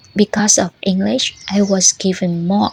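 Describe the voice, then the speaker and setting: Someone with a Vietnamese accent speaks at a fairly slow pace against noticeable background noise. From northern Vietnam, Bac Giang. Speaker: language learning vlogger, former food tour guide. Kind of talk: personal storytelling monologue.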